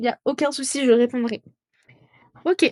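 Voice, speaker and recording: A woman's voice comes across dry and close, with no echo. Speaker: student tutor. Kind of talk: tutorial. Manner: animated.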